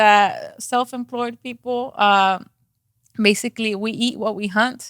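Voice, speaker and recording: A woman in a strong Mexican accent with a bright, sharp tone, fairly even intonation and a fairly slow pace. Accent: thick Mexican Spanish. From Mexico. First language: Spanish. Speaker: real estate agent. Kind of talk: podcast interview. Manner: hesitant, many fillers.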